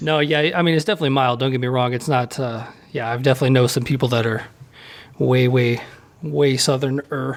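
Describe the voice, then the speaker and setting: A man with an American accent speaks at a fairly quick pace in a medium pitch, with fairly even intonation and a normal speaking voice. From US South, Nashville. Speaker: podcast host. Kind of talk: interview.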